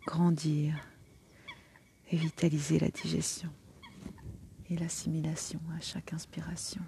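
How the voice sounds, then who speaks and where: Speaking at a very slow pace with long, frequent pauses, a woman uses a gentle, warm tone, a very deep, low pitch and monotone, flat intonation. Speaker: energy healer and meditation guide. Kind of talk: guided meditation. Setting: outdoors by the water in nature. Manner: slow, soothing, calm; gentle, warm, unhurried with long pauses.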